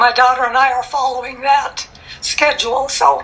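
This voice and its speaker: A woman speaks at a fairly slow pace in a raised, projected voice with an American accent. Her pitch sits high, and there is noticeable background noise. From Minnesota. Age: 80s+. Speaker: masters runner. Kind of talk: interview answer.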